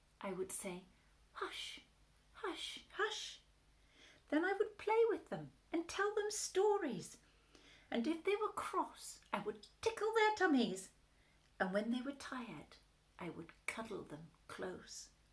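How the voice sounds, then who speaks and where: A woman puts on a character voice at an extremely high pitch, swinging very widely up and down. She goes at a fairly slow pace with long, frequent pauses. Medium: read story. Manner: soft, soothing.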